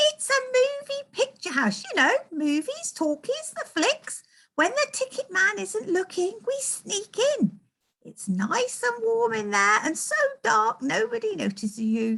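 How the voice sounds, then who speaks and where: Putting on a squeaky character voice, a woman speaks at an extremely high pitch with very wide pitch swings at a fairly slow pace. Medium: read story. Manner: chatty, breathless.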